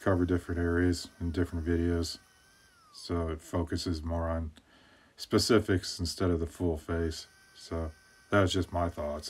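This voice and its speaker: In a bored, relaxed tone, a man speaks at a very deep, low pitch with monotone, flat intonation. His pace is moderate, broken by long, frequent pauses. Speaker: woodcarver. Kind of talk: voiceover tutorial. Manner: flat, bored-sounding; relaxed, hesitant with fillers.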